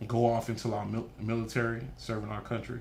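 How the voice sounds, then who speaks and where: Speaking at a moderate pace and medium pitch, a man with a Haitian accent is heard with audible room echo. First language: Haitian Creole. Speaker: nonprofit founder. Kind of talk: interview. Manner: animated.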